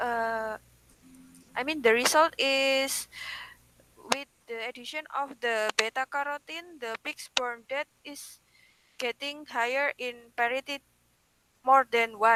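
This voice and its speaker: In a raised, projected voice, a woman with a high pitch speaks very slowly with fairly even intonation and big swings in loudness, the sound dry and close with no echo. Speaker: webinar participant asking questions. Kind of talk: academic Q&A. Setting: video call. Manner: halting.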